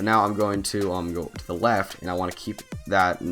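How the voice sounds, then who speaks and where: Music plays in the background as a man speaks quietly in a very deep, low voice. His intonation stays fairly even. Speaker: mobile game channel host. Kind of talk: gameplay tutorial commentary. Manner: quiet, low-energy.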